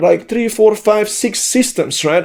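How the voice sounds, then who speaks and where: A dark, mellow tone in a Slovene accent with ordinary pitch variation. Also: man. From Slovenia. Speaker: online business coach. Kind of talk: vlog monologue. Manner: talkative.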